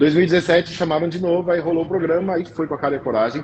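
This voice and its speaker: This man's voice is somewhat breathy. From interior of São Paulo state, Brazil. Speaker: pastry chef. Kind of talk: interview. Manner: halting, repeats words.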